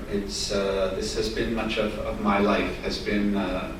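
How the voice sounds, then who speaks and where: A man speaks in an American accent, with noticeable background noise and audible room echo around him. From United States. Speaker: privacy and travel industry expert. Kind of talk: presentation at a workshop. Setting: meeting room, European Parliament workshop. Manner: loud.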